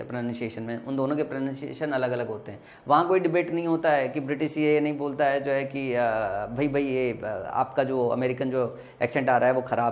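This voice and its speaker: Over noticeable background noise, someone with a Bihari accent speaks at a moderate pace with fairly even intonation and hardly any pauses. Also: man, medium pitch for a man. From Bihar, India.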